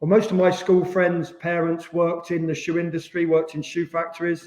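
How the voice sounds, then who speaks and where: Speaking with an East Midlands accent, a man keeps a monotone, flat intonation at a moderate pace and high pitch. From England, Rushden, Northamptonshire. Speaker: former professional footballer. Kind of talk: podcast interview.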